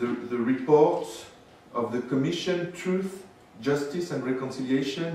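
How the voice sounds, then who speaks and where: At a moderate pace, a man talks with a French accent and ordinary pitch variation, with audible room echo and noticeable background noise. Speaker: historian. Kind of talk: lecture. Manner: halting.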